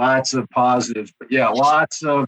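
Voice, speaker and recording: With a Kentucky accent, a man speaks at a fairly slow pace with ordinary pitch variation, the sound dry and close with no echo. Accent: Southern US (Kentucky). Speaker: head of HR. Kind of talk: interview conversation. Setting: studio.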